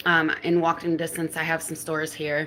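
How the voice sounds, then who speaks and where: Against noticeable background noise, a woman with a fairly low pitch talks at a moderate pace. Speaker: live streamer. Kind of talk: casual story time. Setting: live stream. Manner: hesitant, filler-heavy.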